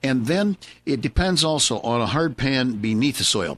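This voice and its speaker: A normal speaking voice from a man at medium pitch, with lively intonation and a fairly slow pace, dry and close with no echo, in a very clean recording over a silent background. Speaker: horticultural consultant, certified arborist and landscape designer, gardening radio host. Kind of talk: live radio gardening advice, answering a listener question. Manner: friendly, conversational, with frequent filler words and pauses.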